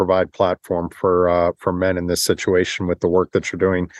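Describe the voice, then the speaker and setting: A man with an American accent and a very deep, low pitch, at a moderate pace. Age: 50s. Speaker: patient advocate and military veteran. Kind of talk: interview. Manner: halting, many fillers and repetitions.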